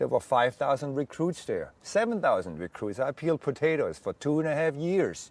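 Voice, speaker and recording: A man's dry, close voice with no echo, at a fairly quick pace with lively intonation. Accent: German. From Germany. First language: German. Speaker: war veteran. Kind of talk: testimony. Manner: halting.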